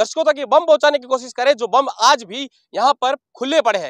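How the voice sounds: At an extremely high pitch for a man, a man speaks at a fairly quick pace with a fairly bright tone and ordinary pitch variation, in a dry, close sound with no echo.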